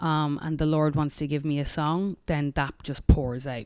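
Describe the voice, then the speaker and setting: A woman with an Irish accent and a very deep, low pitch. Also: very clean recording, silent background. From Ireland, tiny rural village. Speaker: singer-songwriter. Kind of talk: casual interview chat.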